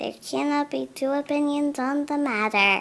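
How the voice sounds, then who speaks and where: A woman's high-pitched put-on character voice at a moderate pace. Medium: read story. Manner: calm, matter-of-fact.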